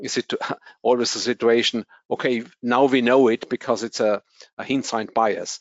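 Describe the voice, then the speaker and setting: At a moderate pace, a man with a German accent speaks at a medium pitch in a flat monotone. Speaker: anesthesiology professor. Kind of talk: interview. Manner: halting.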